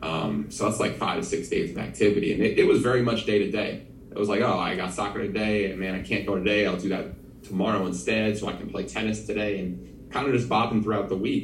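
With audible room echo, a man with an American accent speaks at a fairly quick pace in a fairly low pitch, with ordinary pitch variation. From New Jersey. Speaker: physical therapist. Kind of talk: casual chat.

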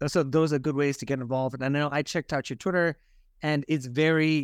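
On a very clean recording with a silent background and a dry, close sound with no echo, a man with a plain, everyday voice speaks at a fairly high pitch with fairly even intonation. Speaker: podcast host. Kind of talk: casual interview.

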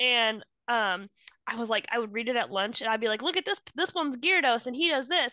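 In a dry, close recording with no echo and a quiet background, a woman speaks at a fairly quick pace. Her high-pitched voice has a bright, sharp tone and lively intonation. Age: 30s. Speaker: podcast co-host. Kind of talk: casual chat.

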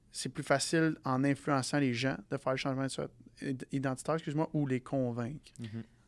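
On a very clean recording with a silent background, a man speaks at a moderate pace, medium in pitch and fairly even in intonation. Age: 20s. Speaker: podcast co-host. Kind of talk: casual interview.

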